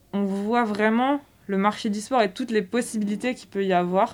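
A woman's medium-pitched voice at a fairly slow pace with fairly even intonation, on a very clean recording with a silent background. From Brittany, France (Quimper). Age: 20s. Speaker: sports retail manager, former work-study student. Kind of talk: interview testimony. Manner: hesitant, frequent fillers and repetitions.

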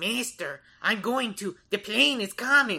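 At a fairly slow pace, the speaker talks in a put-on character voice. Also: female-sounding voice, fairly high pitch for a woman. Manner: creepy, servile.

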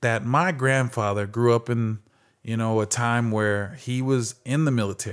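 In a very clean recording with a silent background, a man with a medium pitch and an unremarkable speaking voice talks at a fairly slow pace with fairly even intonation. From Phoenix, Arizona. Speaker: former athlete and speaker. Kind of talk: interview.

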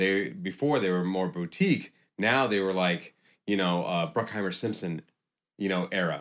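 A man speaks with a very deep, low pitch, ordinary pitch variation and very even loudness. His moderate pace comes through on a very clean recording with a silent background. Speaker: gym owner. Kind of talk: casual chat.

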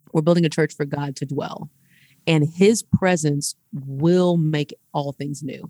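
With an American accent and a very deep, low pitch, a woman sounds animated in a dry, close recording with no echo. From Houston, Texas. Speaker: ministry founder and speaker. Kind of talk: casual chat.

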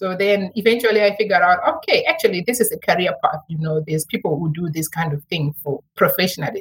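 A woman speaks at a very fast pace with lively intonation. Her voice is somewhat breathy. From Zimbabwe. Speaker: medical writing consultant. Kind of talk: interview.

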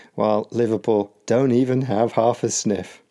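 With a British accent, a man talks at a moderate pace and medium pitch in a dark, mellow tone, recorded very cleanly over a silent background. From UK. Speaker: podcast host and English teacher. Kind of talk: educational podcast explanation. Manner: clear and measured.

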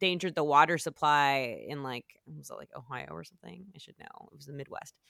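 Someone with an American accent talks at a fairly quick pace in a very clean recording with a silent background. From Southern California. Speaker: podcast host. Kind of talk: casual chat.

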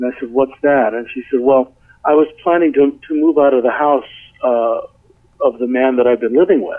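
This man has a plain, everyday voice, a medium pitch, a moderate pace, and fairly even intonation. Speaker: writer and audio producer. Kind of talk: casual interview.

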